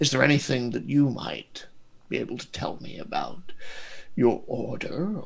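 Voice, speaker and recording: Putting on a character voice, a man speaks at a moderate pace and fairly high pitch, with big swings in loudness. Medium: actual play. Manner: genteel, measured, faintly condescending.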